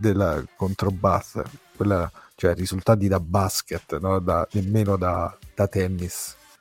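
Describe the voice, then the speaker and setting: A man with a Roman accent speaks at a very deep, low pitch. The sound is dry and close with no echo, and music plays in the background. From Rome. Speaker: rugby enthusiast, former coach. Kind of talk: casual chat.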